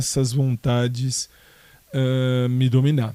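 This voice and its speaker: A man's voice with a dark, mellow tone sits at a fairly high pitch. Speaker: podcaster. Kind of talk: casual monologue answering listener questions. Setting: home, in his bedroom.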